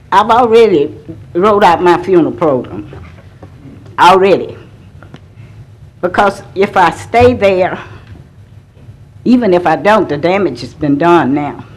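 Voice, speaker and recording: Lively intonation in an American accent at a fairly slow pace, with long, frequent pauses, audible room echo and noticeable background noise. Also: woman, fairly low pitch for a woman. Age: 70s. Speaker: resident speaking at public comment. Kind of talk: public comment testimony. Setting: city council meeting.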